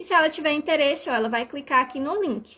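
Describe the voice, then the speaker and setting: A woman's raised, projected voice, high-pitched with a bright, sharp tone and ordinary pitch variation. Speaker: language teacher. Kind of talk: live stream tutorial.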